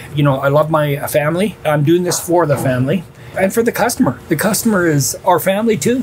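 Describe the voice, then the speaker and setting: With a Canadian accent, a man speaks at a fairly quick pace in a fairly high pitch, his intonation lively and his loudness very even, over noticeable background noise. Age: 60s. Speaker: restaurant founder and owner. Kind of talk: interview.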